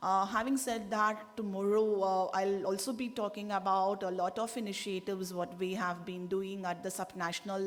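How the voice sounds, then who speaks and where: Audible room echo around a woman's medium-pitched voice, with fairly even intonation at a moderate pace. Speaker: government delegate. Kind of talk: conference statement. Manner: halting, many fillers.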